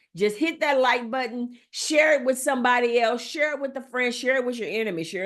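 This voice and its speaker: A woman's high-pitched, animated voice at a moderate pace. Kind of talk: teaching talk. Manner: loud.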